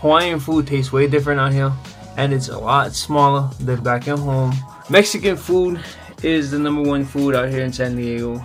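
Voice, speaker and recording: Over music in the background, a man with a fairly high voice talks at a moderate pace in a relaxed tone with fairly even intonation. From Hawaii (Kaneohe). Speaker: vlogger. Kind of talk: casual talk to camera. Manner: casual, relaxed.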